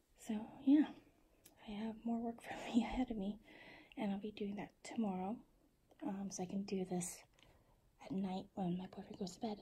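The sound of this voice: A woman talks at a moderate pace and medium pitch with fairly even intonation and long, frequent pauses. Her tone is dark and mellow, with a husky, rough edge.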